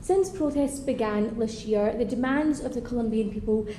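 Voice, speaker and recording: A woman speaks in a strong Scottish accent at a fairly high pitch with ordinary pitch variation. Noticeable background noise and audible room echo fill the recording. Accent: thick Scottish. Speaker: member of parliament. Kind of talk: parliamentary speech.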